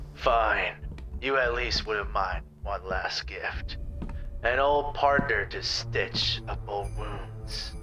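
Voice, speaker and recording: Against clear background noise, a man speaks at a very slow pace. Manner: threatening, smooth.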